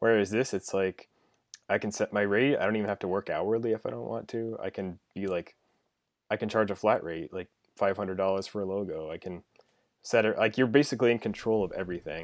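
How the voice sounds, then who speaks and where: An unremarkable speaking voice from a man, fairly quick in pace with ordinary pitch variation, on a very clean recording with a silent background. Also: fairly low pitch for a man. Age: 20s. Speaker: freelance logo designer. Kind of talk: casual interview.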